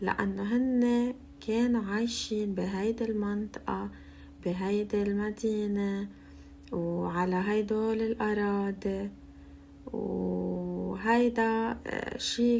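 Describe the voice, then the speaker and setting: Someone with a Lebanese accent speaks at a very slow pace over noticeable background noise. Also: woman. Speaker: Arabic language teacher. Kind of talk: language-learning listening practice, walking tour narration. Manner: slow, clear.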